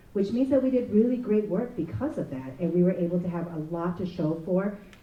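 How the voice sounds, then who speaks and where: Someone speaks at a very fast pace. Noticeable background noise is present. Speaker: state legislator. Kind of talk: panel speech.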